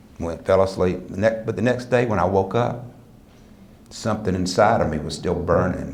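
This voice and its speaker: With an American accent, a man speaks at a moderate pace and fairly low pitch with ordinary pitch variation, amid audible room echo and noticeable background noise. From US South. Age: 60s. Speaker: motivational speaker. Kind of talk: speech to an audience. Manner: animated.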